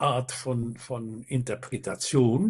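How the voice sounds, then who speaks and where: Against a quiet background, a man's somewhat breathy, medium-pitched voice moves at a very slow pace. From Netherlands. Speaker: baritone singer. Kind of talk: interview answer.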